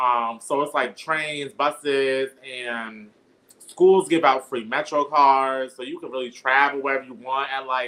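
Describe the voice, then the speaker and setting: A man speaks fairly slowly at a medium pitch, with a bright, sharp tone. His intonation is fairly even, while his loudness swings widely. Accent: New York. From Bronx, New York. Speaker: poet. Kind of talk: casual chat.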